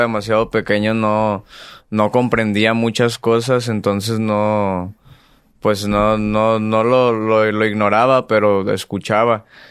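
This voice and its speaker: Against a quiet background, a man with a Mexican accent speaks in a flat monotone at a fairly low pitch, his loudness very even and the sound dry with no echo. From Mexico. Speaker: singer; podcast guest. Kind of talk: casual interview. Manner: reserved, subdued. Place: studio. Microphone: studio mic.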